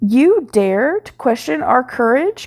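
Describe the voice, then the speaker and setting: A woman's put-on character voice, high-pitched, with very wide pitch swings and a fairly slow pace. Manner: angry.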